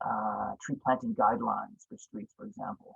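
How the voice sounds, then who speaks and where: His pitch moves across a very wide range. The speaker is a man. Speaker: urban forestry consultant. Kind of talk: presentation. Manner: halting; fast.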